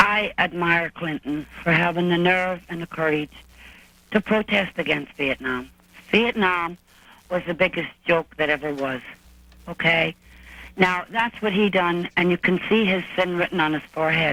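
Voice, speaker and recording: The speaker talks at a moderate pace in an Irish accent. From Ireland. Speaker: caller. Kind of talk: call-in comment. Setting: phone call. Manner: animated.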